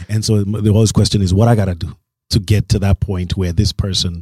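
In a dark, mellow, somewhat breathy tone, the speaker talks very fast with monotone, flat intonation, on a very clean recording with a silent background. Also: man. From Kenya (Nairobi). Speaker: DJ and producer, label owner. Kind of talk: casual interview. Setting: studio.

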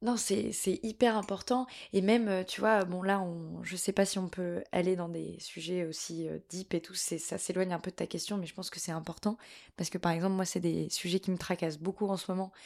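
A woman at a moderate pace with a plain, everyday voice, medium pitch and fairly even intonation, on a very clean recording with a silent background. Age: 20s. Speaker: actress and cultural media co-founder. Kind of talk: casual chat.

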